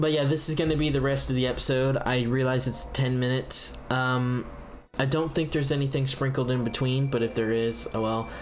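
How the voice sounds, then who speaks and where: Audible room echo and noticeable background noise surround a man with a medium pitch. His intonation is monotone and flat, and his loudness stays very even. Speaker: gaming youtuber. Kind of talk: let's play commentary. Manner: hesitant, many fillers.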